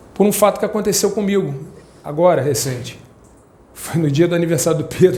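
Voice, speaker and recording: A man's high-pitched voice at a fairly quick pace, with ordinary pitch variation, long and frequent pauses, audible room echo and noticeable background noise. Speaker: spiritist lay speaker. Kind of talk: spiritual talk to congregation. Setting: prayer house, in front of audience. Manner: fast.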